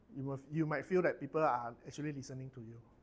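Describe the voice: Fast speech from a man of medium pitch with fairly even intonation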